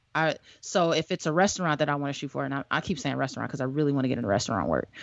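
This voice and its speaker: Very fast and full of lively intonation, a woman talks at a very deep, low pitch with vocal fry. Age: 30s. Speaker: podcast co-host and filmmaker. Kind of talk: casual chat.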